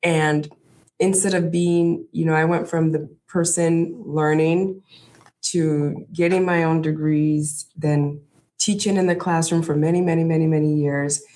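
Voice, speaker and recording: Speaking at a fairly slow pace, a woman has an unremarkable speaking voice, a fairly low pitch, and very even loudness. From US, inner city, child of West African immigrants. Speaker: university administrator. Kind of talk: interview.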